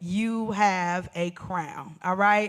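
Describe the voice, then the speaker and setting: The recording is very clean, with a silent background. A woman speaks at a medium pitch with ordinary pitch variation. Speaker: event moderator and church ministry co-lead. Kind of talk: live panel introduction. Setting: live stream event with audience. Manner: loud; animated.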